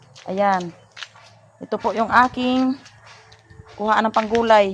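A woman speaks very slowly at a medium pitch with fairly even intonation. Noticeable background noise can be heard. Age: old. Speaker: family vlogger. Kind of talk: casual vlog narration.

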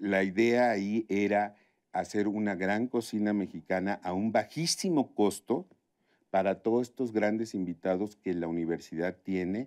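Over a quiet background, a man speaks at a fairly slow pace. His pitch is fairly low, with ordinary pitch variation. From Tabasco, Mexico. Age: 50s. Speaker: chef; interview guest. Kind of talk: interview conversation. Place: studio.

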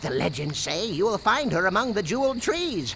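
Putting on a character voice, a man speaks fairly quickly in a high, fairly bright voice with big pitch swings, over faint background noise.

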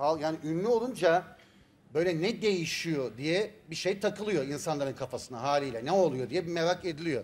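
Lively in intonation, a man with a high pitch talks at a moderate pace. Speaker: talk show host. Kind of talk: talk show hosting chat. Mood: playful, joking. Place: studio. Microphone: lapel.

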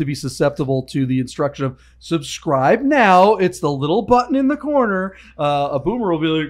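Moving at a fairly quick pace, a man speaks with very wide pitch swings. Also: quiet background. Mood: joking, playful. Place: studio. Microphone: studio mic.

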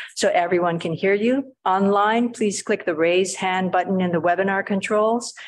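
The intonation stays fairly even at a moderate pace. Light background noise sits behind the voice. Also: woman. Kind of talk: meeting housekeeping announcements. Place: meeting room. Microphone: podium.

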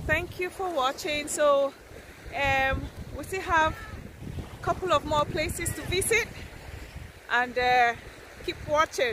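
Raising and projecting her voice, a woman speaks at a fairly slow pace with ordinary pitch variation, the sound dry with no echo but with noticeable background noise. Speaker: travel vlogger. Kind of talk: casual vlog chat. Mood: cheerful, enthusiastic. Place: beach. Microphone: phone near.

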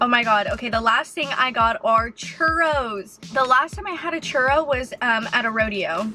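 There's a woman talking. Music sounds clearly behind her. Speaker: YouTuber, food reviewer. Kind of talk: casual talk to camera, food review. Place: car. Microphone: phone near.

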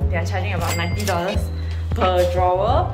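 The speaker is a woman. Behind her, music plays loudly. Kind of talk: casual vlog tour narration. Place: home room. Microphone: phone near.

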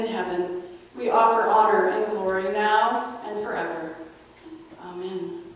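Strong room echo fills the space as a woman speaks at a fairly slow pace. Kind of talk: liturgical prayer. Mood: solemn, gentle. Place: church.

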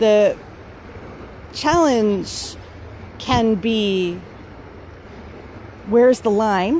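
With light background noise and a dry, echo-free sound, a woman speaks using lively intonation. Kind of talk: casual vlog chat. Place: waterside. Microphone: phone near.

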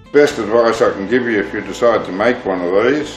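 A man at a moderate pace with ordinary pitch variation, faint music in the background. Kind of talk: tutorial. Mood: calm, reflective. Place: workshop.

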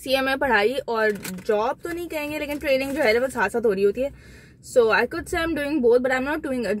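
A woman with a high pitch and lively intonation, dry sound with no echo, and light background noise. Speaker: vlogger. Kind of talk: casual vlog Q&A chat. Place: car. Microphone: phone near.

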